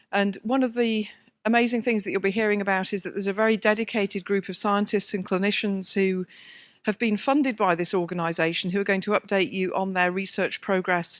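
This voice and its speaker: Speaking at a fairly quick pace, a woman with a British accent uses a medium pitch and fairly even intonation. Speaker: scientist, advisory board chair. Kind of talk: conference introduction.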